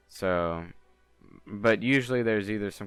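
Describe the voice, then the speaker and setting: A fairly low-pitched man at a moderate pace, with music in the background. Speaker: gaming youtuber. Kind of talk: tutorial. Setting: home. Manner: monotone; halting.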